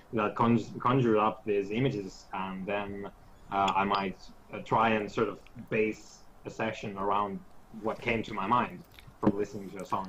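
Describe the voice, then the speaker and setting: A man talks with a Finnish accent and a fairly low pitch. His pace is moderate. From Finland. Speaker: tabletop game master. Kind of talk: casual chat. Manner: hesitant, many fillers.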